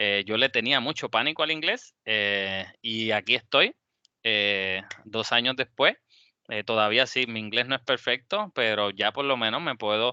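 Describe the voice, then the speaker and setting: A man's bright, sharp voice of medium pitch with ordinary variation, fairly slow, dry and close with no echo against a quiet background. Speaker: engineering alumnus speaker. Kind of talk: webinar talk closing remarks.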